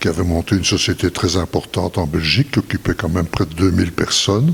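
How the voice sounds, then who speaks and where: Rushing along at a very fast pace, a man with a very deep, low pitch shows ordinary pitch variation. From Belgium. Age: 80s+. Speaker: retired businessman. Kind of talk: interview testimony.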